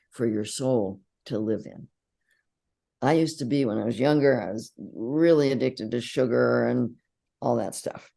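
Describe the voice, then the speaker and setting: A woman speaks at a moderate pace with a very deep, low pitch, a dark, mellow tone, vocal fry and ordinary pitch variation over a quiet background. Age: 80s+. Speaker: psychologist and inner bonding teacher. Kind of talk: interview.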